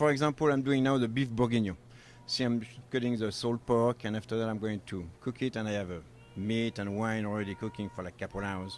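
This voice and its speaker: A man speaks in a medium pitch. He has a French accent. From France, Normandy. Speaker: baker and chef, bakery owner. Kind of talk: casual interview. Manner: halting, broken English.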